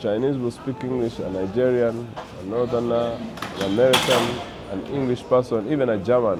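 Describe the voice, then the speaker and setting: A man at medium pitch talks at a moderate pace with ordinary pitch variation, with audible room echo and noticeable background noise. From Uganda. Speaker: jazz saxophonist. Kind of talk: interview. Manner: halting.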